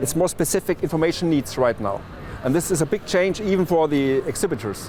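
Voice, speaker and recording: With lively intonation, a man talks at a fairly quick pace and a fairly high pitch. His loudness stays very even over noticeable background noise. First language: German. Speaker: trade media manager. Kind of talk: interview. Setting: trade fair floor. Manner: halting, many restarts.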